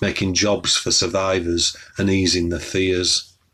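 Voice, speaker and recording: A man's very deep, low voice in a Yorkshire accent, with monotone, flat intonation. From northern England, Wakefield, West Yorkshire. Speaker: poet. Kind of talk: poetry reading.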